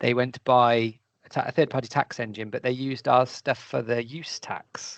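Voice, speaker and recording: At a moderate pace, this speaker talks with a British accent. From Britain. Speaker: webinar host. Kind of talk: webinar interview.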